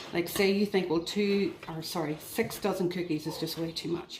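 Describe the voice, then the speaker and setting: Over noticeable background noise, a woman talks at a moderate pace, her pitch fairly low with ordinary pitch variation. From Northern Ireland. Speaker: home baking video host. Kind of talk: cooking tutorial. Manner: friendly, chatty.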